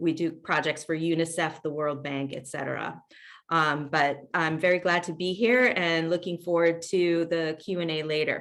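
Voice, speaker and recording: Speaking with an American accent over a quiet background, a woman with an ordinary speaking voice keeps fairly even intonation, a moderate pace and a fairly low pitch. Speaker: international development consultant. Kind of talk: webinar panel talk.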